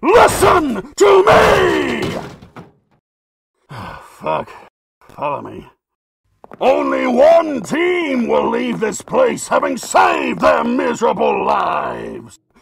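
A man puts on a raspy character voice, talking at a very slow pace with long, frequent pauses. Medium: dub. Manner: commanding, menacing.

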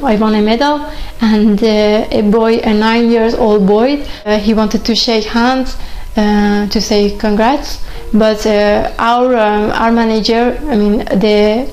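In a Persian accent, a woman talks at a very slow pace and a fairly high pitch. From Iran. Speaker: chess grandmaster. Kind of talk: interview answer. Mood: calm, earnest, reflective. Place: home room.

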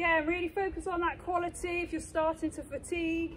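A woman talks at a fairly quick pace, with light background noise behind her. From England. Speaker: fitness instructor. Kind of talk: live-cued workout coaching, counting reps and talking learners through each move. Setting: exercise studio or gym. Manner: brisk rhythmic cueing. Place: open country.

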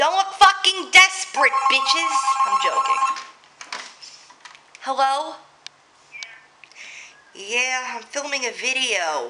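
With long, frequent pauses and a very slow pace, a woman with an American accent uses a raised, projected voice, high in pitch, over loud background noise. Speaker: vlogger. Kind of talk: casual vlog talk. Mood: joking, slightly irritated. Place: home room. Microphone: webcam.

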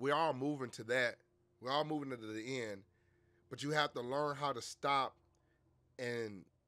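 The man speaks at a moderate pace with a bright, sharp tone. His intonation stays fairly even. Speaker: streamer. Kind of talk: casual stream chat, storytelling. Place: home room. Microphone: headset.

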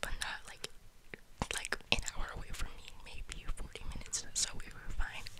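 A woman is speaking. She is whispering. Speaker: ASMR creator. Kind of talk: ASMR whisper ramble, casual talk to camera. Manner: whispered. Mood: tired, venting. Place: home room. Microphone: studio mic.

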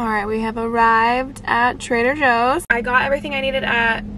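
Loud background noise nearly covers a woman's voice as she speaks. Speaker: lifestyle vlogger. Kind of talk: casual vlog chat. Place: car. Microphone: phone near.

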